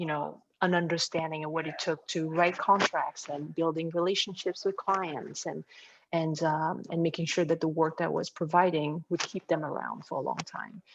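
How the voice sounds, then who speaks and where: A woman with a French accent speaks at a moderate pace in a fairly low, flat, monotone voice. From France. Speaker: design firm co-founder. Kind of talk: interview.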